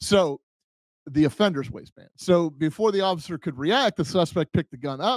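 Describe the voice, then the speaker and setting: With lively intonation, a man speaks at a high pitch and a moderate pace, in a dry sound with no echo. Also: quiet background. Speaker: podcast host, former police officer. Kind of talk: casual podcast chat. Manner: hesitant, many fillers. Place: home room. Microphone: studio mic.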